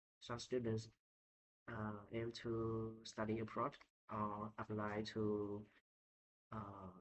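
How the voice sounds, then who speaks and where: A man speaks with a Vietnamese accent. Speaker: English learner. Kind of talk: speaking test practice. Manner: halting.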